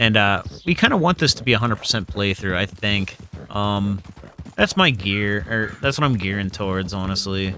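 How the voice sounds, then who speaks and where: He speaks at a medium tempo, his pitch rising and falling normally. This man has a normal speaking voice. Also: fairly low pitch for a man. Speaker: gaming let's play creator. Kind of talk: gameplay commentary. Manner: casual, many fillers.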